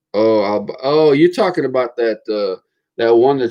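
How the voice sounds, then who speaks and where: Speaking in an American accent, a man keeps a moderate pace and ordinary pitch variation. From Florida. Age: 40s. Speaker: car channel host. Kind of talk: casual livestream chat. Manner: halting, many repetitions and fillers.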